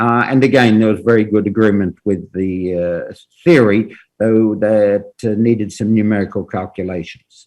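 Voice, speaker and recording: With an Australian accent, the speaker keeps a moderate pace and fairly even intonation. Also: man, fairly low pitch for a man. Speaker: professor. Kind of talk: lecture. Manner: halting, many fillers.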